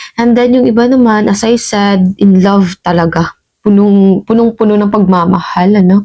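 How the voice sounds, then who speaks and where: A woman is speaking. She has a dark, mellow tone. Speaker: tarot reader. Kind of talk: tarot reading. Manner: casual, conversational.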